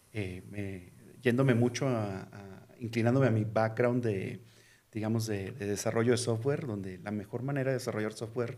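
Speaking at a moderate pace with fairly even intonation, a man has a medium pitch and a dark, mellow tone, with audible room echo. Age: 40s. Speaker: tech company CEO. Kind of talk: casual interview. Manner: halting, many repetitions.

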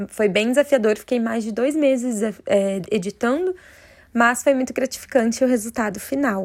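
The speaker uses an ordinary speaking voice with ordinary pitch variation. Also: woman. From Curitiba, Paraná, Brazil. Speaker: belly dancer. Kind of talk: recorded personal testimony.

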